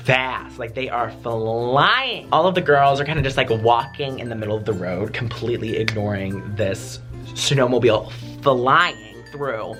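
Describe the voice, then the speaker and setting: Music plays in the background as a man with an American accent speaks at a fairly slow pace with ordinary pitch variation. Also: medium pitch for a man. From Wisconsin. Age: 20s. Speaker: YouTuber. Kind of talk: casual story time to camera.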